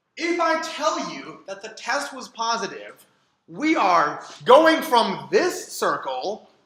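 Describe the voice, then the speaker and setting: Raising and projecting his voice, a man speaks at a very slow pace. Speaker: data science instructor. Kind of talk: lecture.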